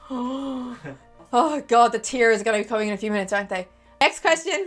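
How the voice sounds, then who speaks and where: A woman speaks with an Irish accent. Her pitch sits fairly high. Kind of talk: casual conversation.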